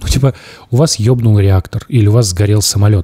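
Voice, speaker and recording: A man's dark, mellow tone, somewhat breathy, at a fairly quick pace over a quiet background. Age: 30s. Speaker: podcast host, former news journalist. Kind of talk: casual chat. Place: studio. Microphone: studio mic.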